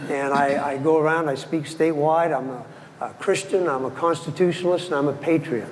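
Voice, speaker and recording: A man's fairly high, fairly even voice at a fairly quick pace, with audible room echo and noticeable background noise. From Maine (Ellsworth). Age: 70s. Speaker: city council candidate. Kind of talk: candidate forum speech. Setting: stage with audience.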